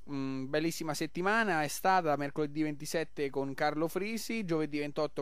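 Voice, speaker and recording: Upbeat and enthusiastic, a man speaks at a fairly high pitch with ordinary pitch variation. He leaves hardly any pauses. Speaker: radio host. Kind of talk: radio pitch promoting a festival taverna and event schedule. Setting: live radio broadcast from a local festival. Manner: upbeat, rapid-fire, enthusiastic promoter; jovial, chatty, superlative-laden.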